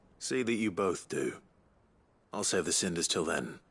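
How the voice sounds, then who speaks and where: Using a put-on character voice, a man sounds raspy and calm at a fairly low pitch, with lively intonation, a moderate pace, very even loudness and a quiet background. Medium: video game. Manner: calm, measured.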